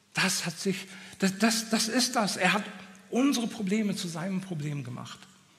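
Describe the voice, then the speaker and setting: Over noticeable background noise, a man with a high pitch speaks at a moderate pace in an animated, passionate tone with ordinary pitch variation. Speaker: preacher. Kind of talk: sermon. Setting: church with audience. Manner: direct, exhortative.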